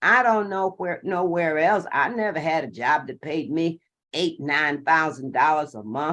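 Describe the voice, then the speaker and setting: With an animated tone, a woman speaks fairly slowly at a very deep, low pitch, using lively intonation and big swings in loudness. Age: 70s. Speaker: network marketing distributor. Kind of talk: testimony.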